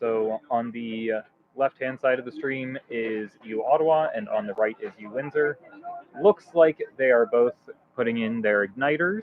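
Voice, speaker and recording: A normal speaking voice goes at a fairly slow pace with ordinary pitch variation and big swings in loudness. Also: man, medium pitch for a man. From Canada. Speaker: livestream commentator. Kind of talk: live commentary.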